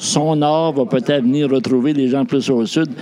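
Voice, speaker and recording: This man's medium-pitched voice comes through with noticeable background noise behind it. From New Brunswick. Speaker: outgoing shelter director. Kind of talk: casual interview.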